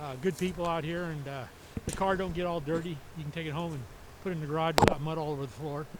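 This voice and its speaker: Over noticeable background noise and audible room echo, a man with an American accent speaks at a very fast pace. His voice sits fairly high, with monotone, flat intonation. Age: 70s. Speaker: race car driver. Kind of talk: trackside interview. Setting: racetrack. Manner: halting.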